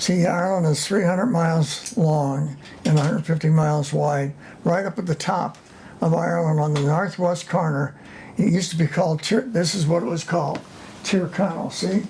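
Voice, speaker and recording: An American accent at a moderate pace, with noticeable background noise. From US Midwest, St. Louis. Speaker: retired businessman. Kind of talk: casual interview. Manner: halting.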